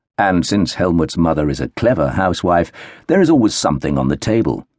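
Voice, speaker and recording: A man speaks at a very deep, low pitch in a solemn tone. The background is quiet. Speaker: audiobook narrator. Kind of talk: audiobook narration, dramatic third-person reading of historical fiction. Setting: studio recording. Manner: measured, slow and hushed, tender and solemn, with expressive pauses.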